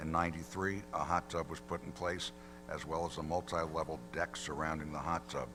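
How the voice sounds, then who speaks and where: Music plays in the background as a man talks at a fairly quick pace in a very deep, low voice. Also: ordinary pitch variation. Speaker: attorney for applicant. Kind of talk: formal presentation at public hearing. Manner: too quiet.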